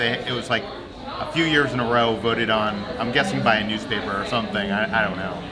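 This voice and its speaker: A man's very fast speech against crowd noise in the background. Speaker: travel vlogger. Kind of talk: casual vlog chat. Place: cafe. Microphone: phone near.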